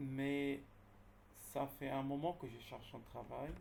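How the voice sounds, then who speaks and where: A man speaks very slowly in a medium pitch with a Dutch accent. His voice is somewhat breathy, and room echo is audible. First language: Dutch (speaking French). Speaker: job seeker asking questions. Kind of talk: Q&A question. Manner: halting.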